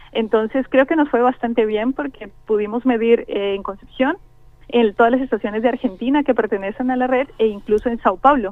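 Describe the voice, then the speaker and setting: With a Colombian accent, a woman speaks at a fairly quick pace. Her pitch is fairly high, with ordinary variation. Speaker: scientist. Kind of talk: interview. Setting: phone call.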